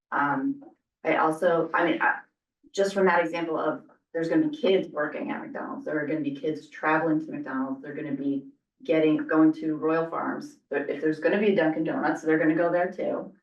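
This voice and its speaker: The speaker is a woman with lively intonation. She goes at a fairly quick pace. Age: 40s. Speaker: community advisory group member. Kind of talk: public meeting discussion. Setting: public meeting in library with Zoom.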